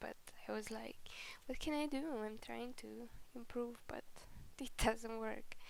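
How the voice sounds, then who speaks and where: A woman speaks quietly at a fairly slow pace. She leaves long, frequent pauses. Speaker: digital artist. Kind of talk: casual voiceover commentary. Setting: home recording, background noise. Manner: unscripted, rambling.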